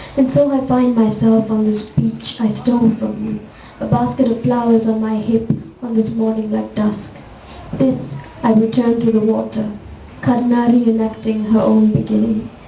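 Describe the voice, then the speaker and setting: Noticeable background noise behind a moderate speed and pitch that varies in an ordinary way. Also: woman, fairly high pitch for a woman. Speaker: poet. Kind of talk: poetry reading.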